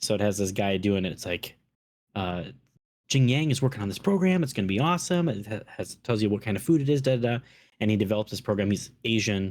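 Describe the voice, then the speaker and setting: Very fast and lively in intonation, a man speaks with a Minnesotan accent. His pitch is fairly low, on a very clean recording with a silent background. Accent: Minnesota. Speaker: podcast host. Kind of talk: casual chat.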